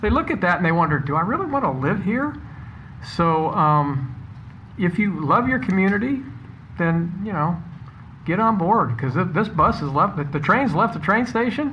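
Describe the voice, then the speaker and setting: This speaker has a Midwestern American accent and a moderate pace. Long pauses come often. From Iowa. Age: 60s. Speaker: city council member. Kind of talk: council meeting remarks.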